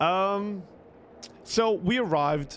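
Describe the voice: Speaking at a very slow pace, a man with a high voice shows ordinary pitch variation.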